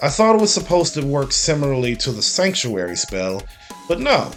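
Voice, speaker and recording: There is music in the background as a man talks at a moderate pace. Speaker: video game reviewer. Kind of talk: video game review voice-over. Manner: occasional stuttering, somewhat awkward line readings.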